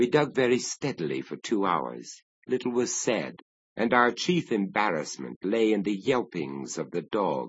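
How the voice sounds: The background stays quiet. Someone reads in a natural voice.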